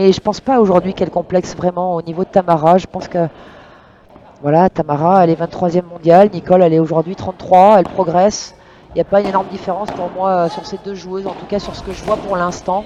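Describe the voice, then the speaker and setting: The speaker is soft-spoken and talks at a very fast pace. There is noticeable background noise. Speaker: padel commentator. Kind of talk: live commentary. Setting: courtside at a live match. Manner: hesitant with frequent fillers.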